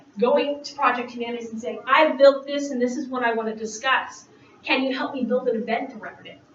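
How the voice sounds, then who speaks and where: A woman's high-pitched voice at a fairly quick pace, fairly even in intonation but with big swings in loudness, over noticeable background noise. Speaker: university writing instructor. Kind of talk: conference presentation.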